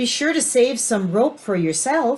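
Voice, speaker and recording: A woman's put-on character voice, growling and high-pitched, at a moderate pace. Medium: read story.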